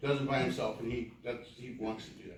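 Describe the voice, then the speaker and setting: A man with an American accent talking very fast, ordinary pitch variation, audible room echo. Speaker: community volunteer. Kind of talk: public meeting address. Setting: city council meeting. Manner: halting.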